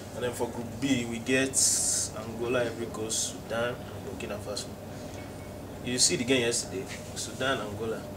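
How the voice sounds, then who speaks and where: A man talks at a fairly quick pace with long, frequent pauses. Loud background noise runs underneath. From Nigeria. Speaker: football analyst. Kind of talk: football analysis discussion. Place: studio.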